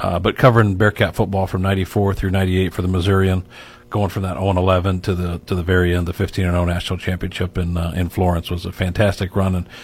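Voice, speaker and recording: A man's somewhat breathy, very deep, low voice at a fairly quick pace. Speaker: university sports media relations staff. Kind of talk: casual chat.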